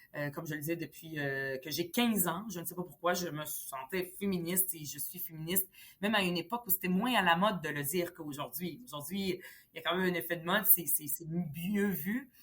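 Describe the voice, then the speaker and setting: A woman with a fairly low pitch speaks fairly quickly, her loudness swinging widely while her pitch varies in an ordinary way. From Lebanon, then Montreal from age 10. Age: 40s. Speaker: politician. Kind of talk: interview. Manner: hesitant, many fillers.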